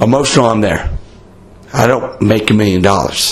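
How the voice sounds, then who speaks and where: There is noticeable background noise as a man talks at a moderate pace. His pitch is medium, with ordinary pitch variation. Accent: American. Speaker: podcast host. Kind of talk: casual chat, beer talk. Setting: in-person with friends in a bar in Italy. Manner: casual, profane, talkative.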